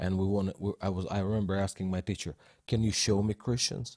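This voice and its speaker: A man with a Russian accent, fairly low in pitch and somewhat breathy, at a fairly quick pace. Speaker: Russian voiceover artist. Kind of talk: casual group chat. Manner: halting.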